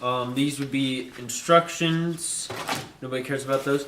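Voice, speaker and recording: Audible room echo and noticeable background noise accompany a man speaking. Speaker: airsoft YouTuber. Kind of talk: unboxing video.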